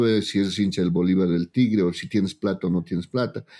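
The speaker is a man with a dark, mellow tone. His intonation is lively. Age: 40s. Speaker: politician and TikToker. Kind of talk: casual chat. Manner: animated.

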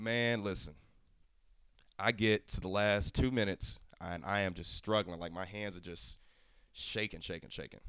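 Using long, frequent pauses, a man with an American accent and a bright, sharp tone speaks at a moderate pace and a fairly low pitch with fairly even intonation, in a very clean recording with a silent background. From Oklahoma. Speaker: cooking competition contestant. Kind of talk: casual interview chat.

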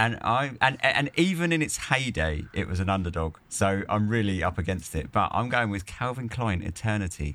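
A man with a British accent and a fairly low pitch, bright, sharp tone, hardly any pauses, on a very clean recording with a silent background. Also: lively intonation, moderate pace. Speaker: podcast co-host. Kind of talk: casual banter chat.

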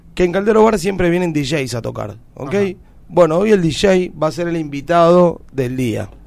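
A man's high voice rises and falls with lively intonation as he talks at a moderate pace. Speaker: radio host. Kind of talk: radio interview.

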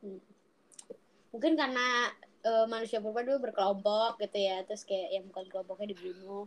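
Her loudness swinging widely, a woman talks at a fairly quick pace in a medium pitch with ordinary pitch variation. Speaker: podcast co-host. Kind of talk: casual chat.

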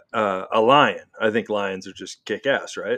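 Moderate-paced male speech over a quiet background. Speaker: podcast co-host. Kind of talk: casual banter podcast chat. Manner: loud, boisterous.

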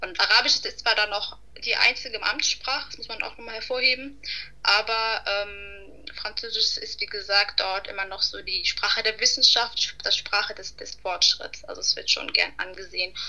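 A woman at a moderate pace with big swings in loudness, against noticeable background noise. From Hamburg, Germany. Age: 20s. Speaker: student, podcast guest. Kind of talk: casual conversation.

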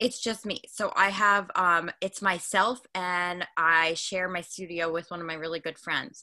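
Fairly low-pitched woman's voice, bright and sharp in tone, with fairly even intonation at a moderate pace. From Long Island, New York. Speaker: hairstylist and online educator. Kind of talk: casual interview.

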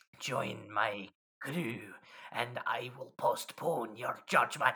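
A man uses a put-on character voice, raspy and medium-pitched. He speaks at a very slow pace. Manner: menacing, commanding.

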